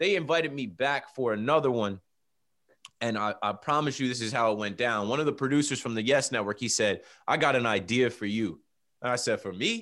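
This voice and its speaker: A man with an unremarkable speaking voice, medium in pitch and ordinary in pitch variation, talks at a fairly quick pace on a very clean recording against a silent background. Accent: American. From New Jersey Shore. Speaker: sports podcaster. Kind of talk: casual interview.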